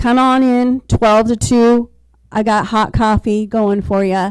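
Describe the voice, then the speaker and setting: Fairly high in pitch yet dark and mellow in tone, a woman's voice moves at a fairly slow pace with fairly even intonation. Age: 60s. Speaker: real estate agent, panelist. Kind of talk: panel discussion.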